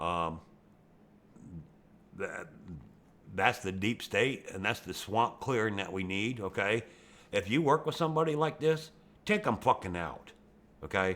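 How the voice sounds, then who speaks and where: A man at a fairly slow pace with long, frequent pauses, medium pitch, very wide pitch swings and a Western Pennsylvania accent. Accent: Western Pennsylvania American. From Pennsylvania, US. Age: 60s. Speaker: YouTube gamer. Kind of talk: rant over gameplay. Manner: animated.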